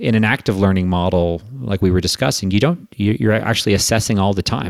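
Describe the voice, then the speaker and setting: Speaking at a fairly quick pace, a man with an unremarkable speaking voice keeps a fairly low pitch and ordinary pitch variation. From Quebec, Canada. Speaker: investment firm managing director and author. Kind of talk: casual interview.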